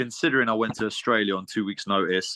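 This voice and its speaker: Speaking fairly quickly with a British accent, a man has a bright, sharp tone, recorded dry and close with no echo over a quiet background. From Britain, Lithuanian heritage. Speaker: MMA fighter. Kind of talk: interview. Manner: halting, many repeats and fillers.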